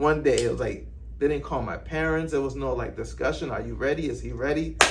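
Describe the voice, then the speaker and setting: Amid noticeable background noise and audible room echo, a man with a Boston accent talks at a fairly quick pace. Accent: Boston urban American English. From Cuba, then Roxbury, Boston from age nine. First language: Spanish. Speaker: rapper. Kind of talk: casual interview. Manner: animated.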